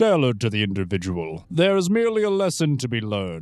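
A man puts on a pompous character voice at medium pitch, swinging very widely up and down. He keeps a moderate pace in a very clean recording with a silent background. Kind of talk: grandiose villain acting. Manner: pompous, condescending, silky persuasive.

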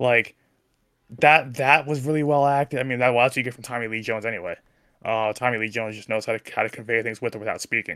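A man's medium-pitched voice with a New Jersey accent, a bright, sharp tone and fairly even intonation, at a very fast pace with big swings in loudness. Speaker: sports podcast panelist. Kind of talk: casual chat.

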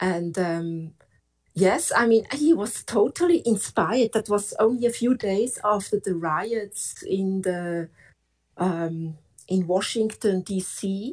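A woman talks at a very slow pace with lively intonation. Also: medium pitch for a woman. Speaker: caller. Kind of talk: call-in discussion. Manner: halting.

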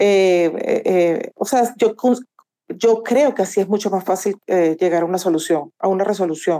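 Speaking at a fairly slow pace, a woman with a medium pitch uses a dark, mellow tone, ordinary pitch variation and very even loudness. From Venezuela. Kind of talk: casual discussion.

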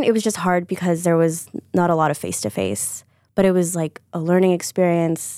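A woman speaks at a fairly quick pace in an ordinary speaking voice, on a very clean recording with a silent background. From Chicago area (Deerfield), US Midwest. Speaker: PR and marketing professional. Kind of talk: interview.

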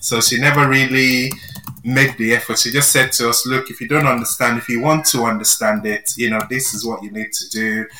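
With noticeable background noise, a man with a Yoruba accent speaks at a fairly quick pace in a medium pitch, his intonation fairly even. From Nigeria. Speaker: library staff co-host. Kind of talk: casual chat.

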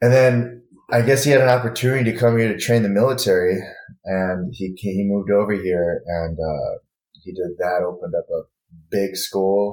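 This man has a plain, everyday voice at a fairly low pitch. He moves at a moderate pace with ordinary pitch variation. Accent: American. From Michigan, Grand Rapids. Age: 30s. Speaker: martial arts instructor. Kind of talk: casual chat.

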